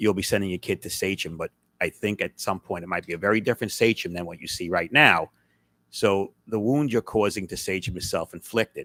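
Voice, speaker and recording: In an American accent, a man with a fairly low pitch talks at a very fast pace with ordinary pitch variation, in a dry, close sound with no echo. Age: 60s. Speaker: school board member. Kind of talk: public meeting remarks. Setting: board meeting with audience.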